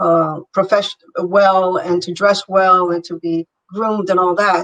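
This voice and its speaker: With a strong Italian accent, a woman speaks at a medium pitch in a monotone, flat intonation and a fairly slow pace, the sound dry and close with no echo. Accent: heavy Italian. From Italy. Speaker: business advisor. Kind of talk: interview.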